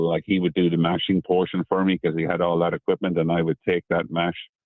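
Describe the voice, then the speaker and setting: A man speaks with an Irish accent. His pace is fairly quick. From Ireland, Midlands. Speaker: whiskey distiller. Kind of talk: radio interview. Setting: phone call. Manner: halting.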